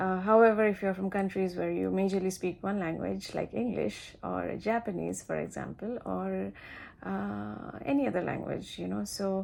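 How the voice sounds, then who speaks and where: A woman speaks with a Bengali accent. Her pace is moderate. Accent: Indian English (Bengali). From India, Siliguri, West Bengal. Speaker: flight attendant, vlogger. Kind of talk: casual vlog advice. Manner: halting, many fillers.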